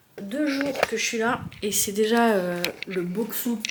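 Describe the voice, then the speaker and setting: A woman with a fairly high voice is heard with audible room echo and noticeable background noise. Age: 30s. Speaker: vlogger. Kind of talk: casual vlog talk to camera. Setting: bathroom of rented flat. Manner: casual, hesitant with many fillers.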